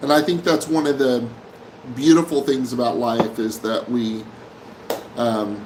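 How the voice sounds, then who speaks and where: A man with an American accent at a medium pitch, fairly slow and with long, frequent pauses, ordinary pitch variation, and noticeable background noise. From Oklahoma, Tulsa. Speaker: live stream host. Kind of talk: casual live stream chat. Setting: live stream from Manila.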